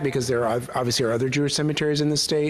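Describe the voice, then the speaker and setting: A man's flat, monotone voice at a medium pitch, with noticeable background noise. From US Midwest, Milwaukee. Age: 60s. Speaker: rabbi. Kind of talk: Q&A after a talk. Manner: halting.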